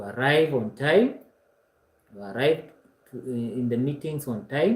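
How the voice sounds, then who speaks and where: A somewhat breathy man's voice in a Kenyan accent, medium in pitch, with ordinary pitch variation and a moderate pace. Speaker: online course instructor. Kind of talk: lecture. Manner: hesitant, frequent uh fillers.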